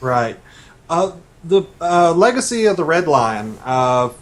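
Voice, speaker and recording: With an Arkansas accent, a man talks at a fairly slow pace with lively intonation. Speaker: novelist. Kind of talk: radio interview. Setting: radio. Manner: hesitant, many fillers.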